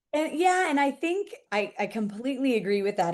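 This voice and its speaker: A woman with an unremarkable speaking voice uses lively intonation and a moderate pace, the background quiet. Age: 40s. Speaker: interior design business owner. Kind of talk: casual interview. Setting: podcast interview.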